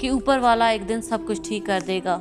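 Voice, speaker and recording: A woman talks at a fairly high pitch with lively intonation. Music plays in the background. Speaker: YouTube channel host. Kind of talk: motivational spoken-word talk. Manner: earnest, direct address to listener.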